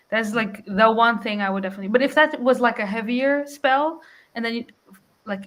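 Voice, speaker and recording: A woman's fairly high voice at a fairly quick pace with ordinary pitch variation. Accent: Portuguese. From Portugal. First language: Portuguese. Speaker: book youtuber. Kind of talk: casual chat.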